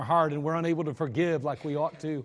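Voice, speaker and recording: A man with an ordinary speaking voice talks at a fairly quick pace, with a fairly high pitch and fairly even intonation. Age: 50s. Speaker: pastor. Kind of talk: sermon. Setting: church.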